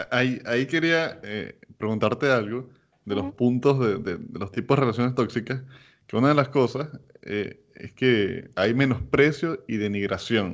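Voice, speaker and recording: An ordinary speaking voice comes from a man at medium pitch and a fairly slow pace. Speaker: podcast host. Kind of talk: casual chat.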